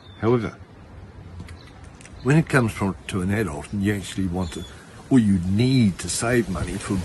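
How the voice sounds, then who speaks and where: This man speaks with an Australian accent at a moderate pace. His pitch sits fairly low. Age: 60s. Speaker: spiritual healer. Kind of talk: casual talk to camera. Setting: outdoors. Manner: casual.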